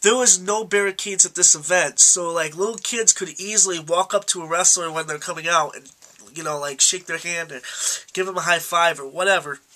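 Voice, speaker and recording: Over noticeable background noise, a man speaks fairly quickly in a high pitch with fairly even intonation. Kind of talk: casual talk to camera.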